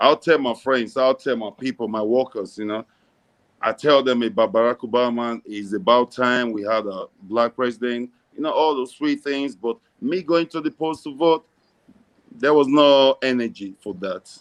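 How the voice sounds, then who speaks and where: A man with an American accent talks at a moderate pace, his pitch medium with ordinary variation. The sound is dry and close, with no echo. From Nigeria, raised mostly in the US. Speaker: philanthropist. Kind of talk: interview.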